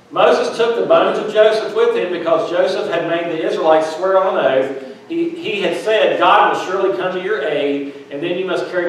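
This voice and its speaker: A man speaks at a fairly quick pace with hardly any pauses, using a high pitch and ordinary pitch variation, under strong room echo. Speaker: minister. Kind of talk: sermon. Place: church.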